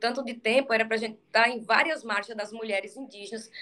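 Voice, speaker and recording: A woman with a high, bright, sharp-toned voice talks at a fairly quick pace. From Maranhão, Brazil. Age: 40s. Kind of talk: interview.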